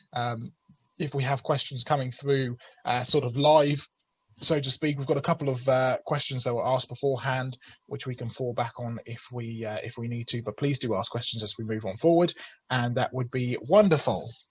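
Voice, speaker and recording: Somewhat breathy and of medium pitch, a man speaks with an English accent. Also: ordinary pitch variation, moderate pace. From England. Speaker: creationist speaker. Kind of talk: webinar presentation. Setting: video call. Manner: hesitant with fillers.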